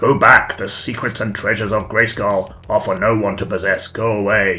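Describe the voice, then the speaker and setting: A man uses a put-on character voice, guttural and raspy, at a medium pitch and moderate pace. His intonation is fairly even, and clear music plays in the background. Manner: eerie, warning, commanding.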